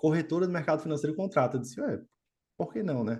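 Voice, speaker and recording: The intonation is lively. The background is quiet. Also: man. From Brazil, Natal, Rio Grande do Norte (Northeast). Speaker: quant trading executive. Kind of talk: podcast interview. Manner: casual, conversational.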